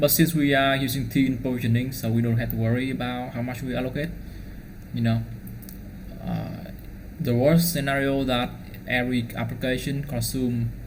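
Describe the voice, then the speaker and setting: A man with a Vietnamese accent speaks at medium pitch in a monotone, flat way. He pauses long and often, with audible room echo. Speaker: DevOps engineer. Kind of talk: tutorial. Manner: fast; halting.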